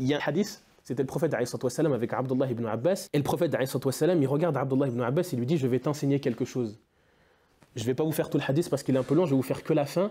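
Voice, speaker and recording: A man's somewhat breathy, dark and mellow voice, pitched fairly high, at a very fast pace with ordinary pitch variation. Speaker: former student speaking to pupils. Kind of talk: motivational talk to students. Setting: classroom with students. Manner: animated, exhortative.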